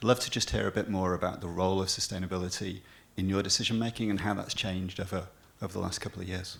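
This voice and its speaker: Speaking very fast in a monotone with flat intonation, a man has a very deep, low pitch. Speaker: audience member. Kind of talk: audience question. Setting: stage with audience.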